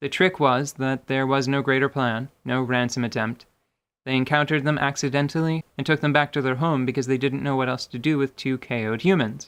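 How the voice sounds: A man speaks at a fairly quick pace in a clear, smooth, fairly bright tone with fairly even intonation. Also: medium pitch for a man.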